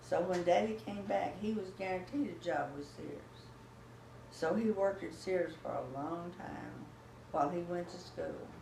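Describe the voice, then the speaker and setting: A woman speaks at a moderate pace with very wide pitch swings and big swings in loudness, with audible room echo and noticeable background noise. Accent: American. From Texas. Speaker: grandmother telling family history. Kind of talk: oral history interview. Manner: halting.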